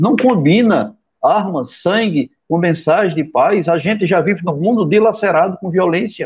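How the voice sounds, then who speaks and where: High-pitched man at a fairly slow pace with ordinary pitch variation and hardly any pauses. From Sertão of Pernambuco, Brazilian Northeast. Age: 50s. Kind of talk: interview conversation.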